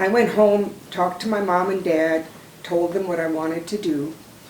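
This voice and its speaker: Against noticeable background noise and audible room echo, a woman with an American accent speaks at a fairly low pitch with fairly even intonation. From Minnesota. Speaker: retired Army nurse, war veteran. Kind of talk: oral history testimony. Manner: halting, with many fillers.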